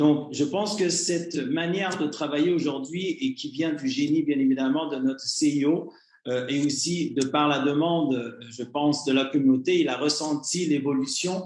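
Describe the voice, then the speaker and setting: Noticeable background noise sits under a man's fairly high pitch. His intonation is fairly even and his pace moderate. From Canada. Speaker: communications director of an investment scheme. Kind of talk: online presentation to members. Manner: hesitant, many fillers; formal.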